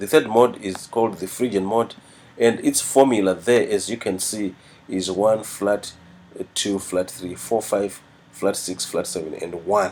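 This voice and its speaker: A man's fairly low voice, fairly slow, with fairly even intonation. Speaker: music teacher. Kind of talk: tutorial. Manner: halting.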